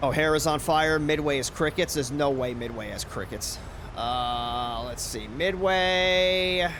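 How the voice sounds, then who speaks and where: A man with an American accent talks at a fairly slow pace and fairly high pitch, with ordinary pitch variation and audible room echo. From New York. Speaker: flight sim streamer. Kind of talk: casual live-stream chat. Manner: casual, filler-heavy.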